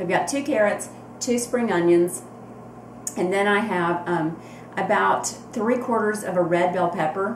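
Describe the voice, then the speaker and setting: A woman with an American accent talks at a fairly slow pace and medium pitch, with ordinary pitch variation and long, frequent pauses. Noticeable background noise and audible room echo fill the recording. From US South. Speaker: cooking vlogger. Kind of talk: cooking tutorial. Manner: casual, hesitant with frequent ums.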